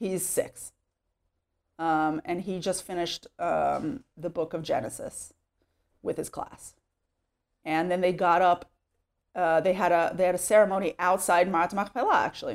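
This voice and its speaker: Speaking at a moderate pace with long, frequent pauses, a woman with a slight Texas accent keeps her fairly low voice fairly even in intonation on a very clean recording with a silent background. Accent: American English, light Texas. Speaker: immigrant to Israel. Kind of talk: interview. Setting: at home. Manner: casual, filler-heavy.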